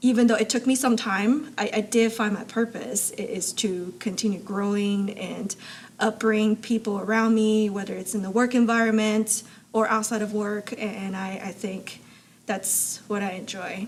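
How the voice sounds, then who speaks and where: A woman speaks in a fairly high, somewhat breathy voice with monotone, flat intonation. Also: moderate pace. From abroad, moved to US in high school. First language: not English. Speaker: supply chain expert and amateur racer. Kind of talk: interview conversation.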